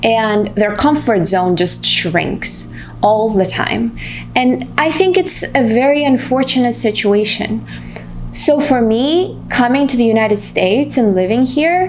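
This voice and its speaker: Over background music, a woman with a Russian accent speaks at a fairly slow pace and very even loudness. Room echo is audible. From Russia, Moscow. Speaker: vlogger. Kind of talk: personal vlog monologue.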